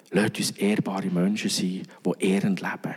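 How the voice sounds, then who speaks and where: A man whispering at a fairly slow pace amid noticeable background noise. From Switzerland, Bern region. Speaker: pastor. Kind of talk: sermon.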